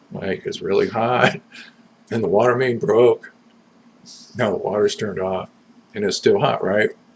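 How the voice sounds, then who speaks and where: With an American accent, a man talks at a moderate pace, leaving long, frequent pauses. Noticeable background noise is present. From US West Coast, Southern California. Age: 60s. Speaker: vlogger. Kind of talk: personal video message. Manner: casual, halting.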